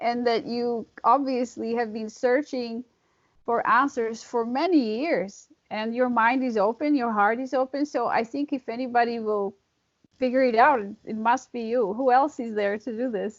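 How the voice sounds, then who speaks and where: Fairly even intonation accompanies speech delivered at a moderate pace. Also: woman, high pitch for a woman. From Europe. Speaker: interviewer. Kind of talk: interview.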